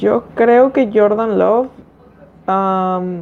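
With a Mexican accent, a woman speaks at a medium pitch with ordinary pitch variation. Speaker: American football commentator. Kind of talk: casual sports podcast discussion.

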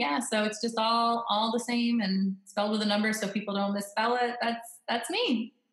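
A woman with an American accent talks at a moderate pace in an unremarkable speaking voice, her pitch fairly high, her intonation fairly even and her loudness very even. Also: hardly any pauses. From Florida. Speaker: wedding photographer. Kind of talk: casual interview. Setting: remote call from home office.

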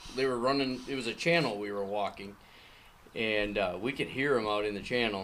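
A man with an American accent has an ordinary speaking voice and a fairly low pitch. He talks at a fairly quick pace with ordinary pitch variation. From Minnesota. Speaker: clay shooter and father. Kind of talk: casual chat. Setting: garage.

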